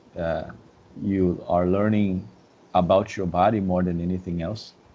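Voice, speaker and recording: In a Brazilian Portuguese accent, a man speaks at a moderate pace with a very deep, low pitch and a dark, mellow tone. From Brazil, Rio de Janeiro suburbs. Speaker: dance instructor. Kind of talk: podcast interview. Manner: halting, many repeated words.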